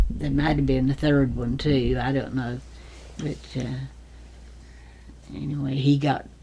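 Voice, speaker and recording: With an Appalachian accent, a woman talks at a fairly slow pace, leaving long, frequent pauses. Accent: Southern Appalachian American. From Fancy Gap, Virginia, US. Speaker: retired nurse. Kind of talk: interview answer.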